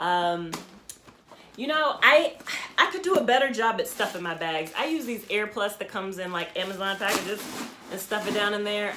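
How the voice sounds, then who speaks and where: Room echo and clear background noise surround a woman as she talks. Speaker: fashion vlogger. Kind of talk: casual show-and-tell vlog. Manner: halting, many ums.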